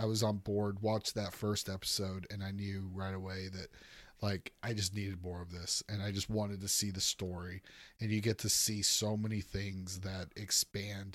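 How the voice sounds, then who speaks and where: A man with a fairly low pitch speaks at a moderate pace in a monotone, flat intonation, in a very clean recording with a silent background. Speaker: returning podcast guest. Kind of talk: casual chat.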